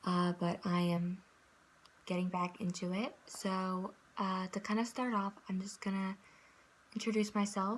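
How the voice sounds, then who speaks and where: Somewhat breathy and in a monotone, flat intonation, a woman speaks at a medium pitch and a fairly slow pace with long, frequent pauses. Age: 20s. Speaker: vlogger, psychology student. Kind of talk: personal testimony vlog. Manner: hesitant, many fillers.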